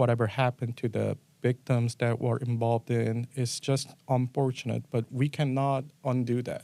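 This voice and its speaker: This man speaks with a Korean accent and a dark, mellow tone. His intonation is flat and monotone. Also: medium pitch for a man, moderate pace, dry, close sound with no echo. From South Korea. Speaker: assistant district attorney. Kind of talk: interview answer.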